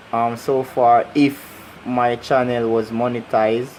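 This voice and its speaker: The speaker has a Jamaican accent. Noticeable background noise can be heard. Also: man. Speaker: YouTuber. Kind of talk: casual vlog. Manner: animated.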